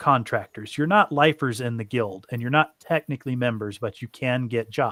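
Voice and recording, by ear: The text is read aloud in a natural voice, and the pitch moves in an ordinary way.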